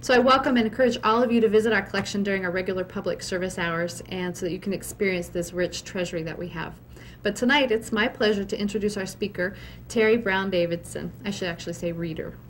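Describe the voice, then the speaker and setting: A woman speaks at a very fast pace with vocal fry. Her pitch variation is ordinary. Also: medium pitch for a woman. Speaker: library curator. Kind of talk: formal event introduction. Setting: library event with live audience.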